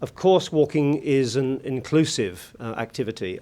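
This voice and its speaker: A man with a British accent speaks with ordinary pitch variation on a very clean recording with a silent background. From UK. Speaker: conference keynote speaker. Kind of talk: conference speech. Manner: hesitant, many fillers.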